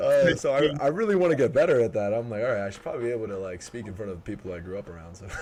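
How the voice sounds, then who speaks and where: A man rattles along very fast with hardly any pauses, lively intonation, medium pitch and big swings in loudness, over noticeable background noise. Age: 20s. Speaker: podcast host. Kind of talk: casual chat. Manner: halting.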